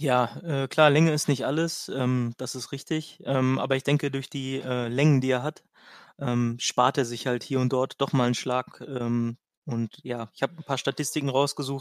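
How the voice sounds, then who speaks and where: Dry, close sound with no echo frames a man's medium-pitched voice. He talks at a moderate pace in a monotone, flat intonation. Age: 20s. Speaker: amateur golfer. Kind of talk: casual chat.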